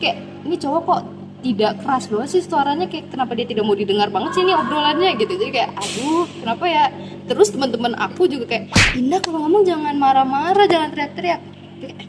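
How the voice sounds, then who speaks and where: Over music in the background, a woman talks loudly and at a very fast pace in a Medan accent, her high pitch taking very wide swings in an animated tone. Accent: Medan speech, loud and high-pitched. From Medan, North Sumatra, Indonesia. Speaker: university student. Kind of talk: casual chat.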